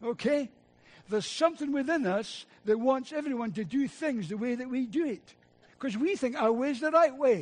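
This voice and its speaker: In a Scottish accent, a man speaks at an extremely high pitch and moderate pace with lively intonation and an animated tone. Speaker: preacher. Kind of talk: sermon.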